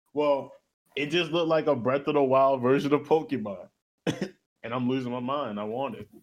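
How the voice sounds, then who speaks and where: A man with a normal speaking voice, fairly high in pitch, at a moderate pace with ordinary pitch variation. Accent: American. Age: 20s. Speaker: podcast co-host. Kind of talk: casual chat.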